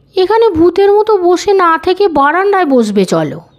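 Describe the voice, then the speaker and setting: A woman uses a put-on character voice at an extremely high pitch. She speaks at a moderate pace with lively intonation. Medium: read story. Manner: homely, plain-spoken.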